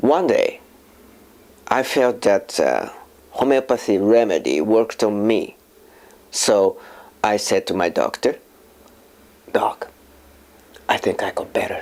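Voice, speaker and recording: A man with a Japanese accent talks at a fairly slow pace. He leaves long, frequent pauses. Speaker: filmmaker and voice actor. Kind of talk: personal testimony. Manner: halting.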